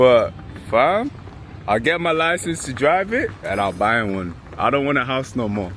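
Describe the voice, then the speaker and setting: A man of medium pitch at a moderate pace, his pitch swinging very widely, with noticeable background noise. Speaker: travel vlogger. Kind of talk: casual vlog chat. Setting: outdoors. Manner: animated.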